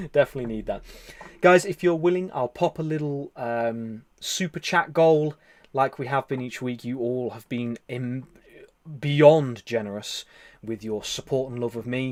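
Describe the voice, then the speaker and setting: A man with an English Midlands accent talks at a moderate pace, his medium pitch showing ordinary variation. The recording is very clean, with a silent background. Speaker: live stream host and meditation leader. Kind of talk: casual live stream chat reading comments.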